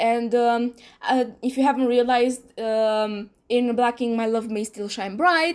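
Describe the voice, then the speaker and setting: Fairly even intonation at a fairly slow pace, on a very clean recording with a silent background. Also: woman, high pitch for a woman. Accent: Romanian. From Romania. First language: Romanian. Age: 20s. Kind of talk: casual talk to camera. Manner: hesitant, many fillers.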